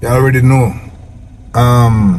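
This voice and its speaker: Against noticeable background noise, a man at a medium pitch speaks at a fairly slow pace with a Jamaican accent. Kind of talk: casual talk to camera.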